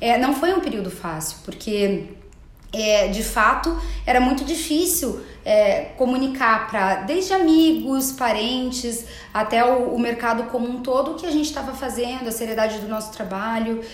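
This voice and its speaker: A woman with a high pitch and lively intonation speaks amid noticeable background noise and audible room echo. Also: moderate pace. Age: 30s. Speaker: entrepreneur and digital communicator. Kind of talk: interview.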